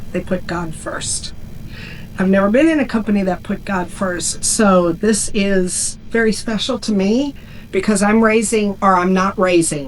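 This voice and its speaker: A woman speaks at a medium pitch and a moderate pace. Her pitch varies in an ordinary way over noticeable background noise. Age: 60s. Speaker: network marketing leader. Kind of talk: short speech to audience.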